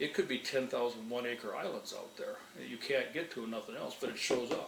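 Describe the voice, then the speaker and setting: A man with an American accent talks fairly quickly, and noticeable background noise sits behind him. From northern Minnesota. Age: 60s. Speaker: retired wildlife manager. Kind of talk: interview. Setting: at his home. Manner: conversational, with frequent fillers.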